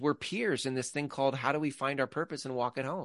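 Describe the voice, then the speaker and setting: Sounding dry and close with no echo, a man with an ordinary speaking voice and medium pitch talks at a fairly quick pace. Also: quiet background. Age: 40s. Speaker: podcast co-host. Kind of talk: casual chat.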